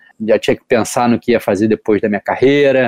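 A man's medium-pitched voice with a dark, mellow tone and fairly even intonation, dry and close with no echo. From Brazil, Rio de Janeiro. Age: 30s. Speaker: professional surfer. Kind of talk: interview.

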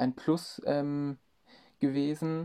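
A man speaks at a medium pitch with a dark, mellow tone against a quiet background. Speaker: marketing intern. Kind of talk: interview. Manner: hesitant, many fillers.

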